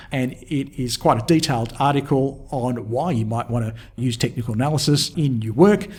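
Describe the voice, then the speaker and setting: A man's medium-pitched, somewhat breathy voice with an Australian accent, ordinary pitch variation and a moderate pace. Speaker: market technical analyst. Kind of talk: tutorial. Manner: casual with frequent fillers.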